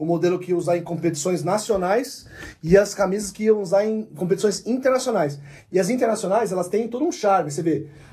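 This man's pitch sits high. He speaks at a fairly quick pace. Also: ordinary pitch variation. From Ribeirão Preto, São Paulo state, Brazil. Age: 30s. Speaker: sports journalist. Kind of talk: casual chat.

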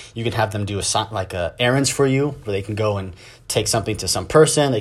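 A man talks at a very fast pace with a fairly low pitch. His voice is somewhat breathy, with ordinary pitch variation. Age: 30s. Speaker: podcast host. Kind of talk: solo monologue. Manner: casual.

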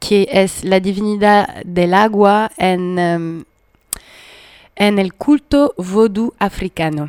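A woman with a French accent speaks at a medium pitch. Her very slow pace is heard in a dry, close sound with no echo. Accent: French accent, sounds exotic. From France, Paris. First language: French (speaking Spanish). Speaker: community radio host. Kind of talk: radio music show chat.

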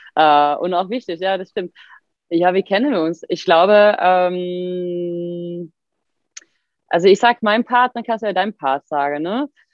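A woman with a Swedish accent speaks at a fairly slow pace in a medium pitch, with ordinary pitch variation and long, frequent pauses. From Sweden. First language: Swedish (speaking German). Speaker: fitness coach and physiotherapist. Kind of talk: casual chat.

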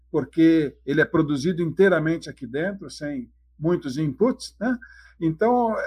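A man speaks in a plain, everyday voice, fairly high in pitch. His intonation is lively and his pace moderate. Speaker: dairy farm owner. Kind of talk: podcast interview.

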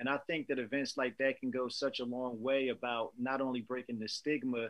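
A man speaks in a normal speaking voice at a medium pitch and a fairly quick pace. His intonation stays fairly even. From New Jersey. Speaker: podcast host. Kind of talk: casual interview.

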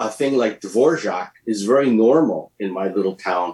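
Speaking with a Canadian accent, a man has an unremarkable speaking voice, medium pitch and ordinary pitch variation. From Canada, Alberta Rockies. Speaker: orchestra conductor. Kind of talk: radio interview.

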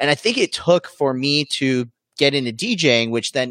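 Energetic and bright with a sharp tone, a man speaks with ordinary pitch variation in a dry, close sound with no echo. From Arizona, US. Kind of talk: casual interview chat. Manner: fast talker, energetic.

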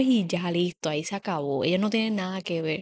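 An ordinary speaking voice from a woman, with lively intonation, a moderate pace and a quiet background. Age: 30s. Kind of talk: casual chat.

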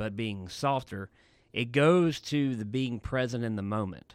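This man has a normal speaking voice at medium pitch, with ordinary pitch variation. He talks at a fairly slow pace in a very clean recording with a silent background. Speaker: podcast co-host. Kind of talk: casual chat. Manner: joking, bantering.

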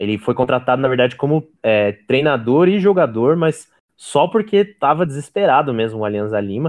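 A man with an unremarkable speaking voice talks at a fairly quick pace, using ordinary pitch variation. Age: 30s. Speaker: podcast co-host. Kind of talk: casual educational chat.

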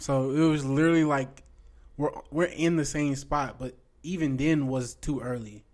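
In an unremarkable speaking voice, a man talks at a moderate pace with fairly high pitch and fairly even intonation. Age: 20s. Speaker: faith podcast co-host. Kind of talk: casual chat.

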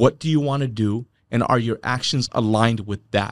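In a very clean recording with a silent background, a man with an unremarkable speaking voice and a medium pitch talks at a fairly quick pace with ordinary pitch variation, the sound dry and close with no echo. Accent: American. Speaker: sales leader / guest. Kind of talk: interview conversation.

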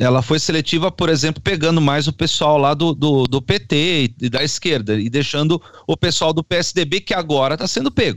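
An unremarkable speaking voice holds a moderate pace with ordinary pitch variation, very even loudness and hardly any pauses. The recording is very clean, with a silent background. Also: man, fairly high pitch for a man, dry, close sound with no echo. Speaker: panelist, non-lawyer. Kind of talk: casual political discussion.

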